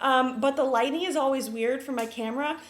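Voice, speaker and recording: A woman with a high-pitched voice talks in a room with audible echo. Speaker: beauty vlogger. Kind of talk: tutorial. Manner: fast; many filler ums.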